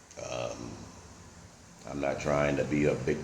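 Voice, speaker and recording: A man speaks with an American accent and a very deep, low pitch. Audible room echo surrounds his voice. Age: 60s. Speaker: retired vlogger. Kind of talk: casual vlog monologue. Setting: at home. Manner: hesitant, many fillers.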